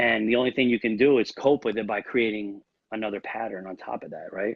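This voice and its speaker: Speaking very fast, a man keeps a medium pitch and fairly even intonation. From New York. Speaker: real estate agent. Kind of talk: interview.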